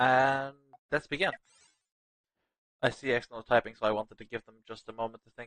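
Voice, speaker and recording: This man speaks at a fairly quick pace but takes long, frequent pauses, his loudness swinging widely. His pitch sits in the medium range with fairly even intonation, and the sound is dry and close with no echo. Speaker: tournament caster. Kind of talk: live commentary. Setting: livestream.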